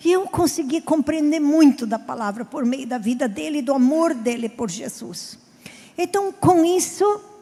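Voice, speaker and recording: A woman's high-pitched voice with very wide pitch swings, at a fairly slow pace over noticeable background noise. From southern Brazil (Rio Grande do Sul). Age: 50s. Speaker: pastor. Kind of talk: sermon.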